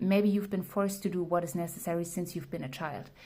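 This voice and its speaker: The voice has a dark, mellow tone, is somewhat breathy and carries a non-native accent. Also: woman. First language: not English. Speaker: tarot reader. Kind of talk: tarot reading monologue. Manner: casual with fillers and self-corrections.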